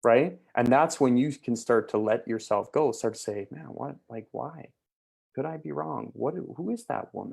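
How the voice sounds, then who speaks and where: In an animated tone with vocal fry, a man at medium pitch makes very wide pitch swings and big swings in loudness. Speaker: mindset mentor. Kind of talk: motivational talk. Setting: video call. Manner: fast.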